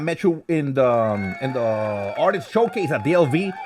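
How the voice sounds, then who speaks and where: This man's voice sits fairly high. His pitch swings very widely. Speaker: podcast host and event hype man. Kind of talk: casual bilingual interview. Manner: code-switching Spanish and English; energetic.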